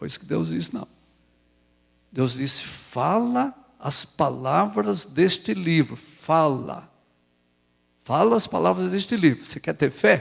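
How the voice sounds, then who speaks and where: A man's fairly high-pitched voice with vocal fry, very wide pitch swings, a very slow pace and long, frequent pauses. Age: 70s. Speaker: pastor. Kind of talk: sermon. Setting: church.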